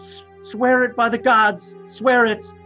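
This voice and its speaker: Over clear background music, a put-on character voice speaks at a fairly high pitch and a fairly slow pace. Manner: fearful, pleading.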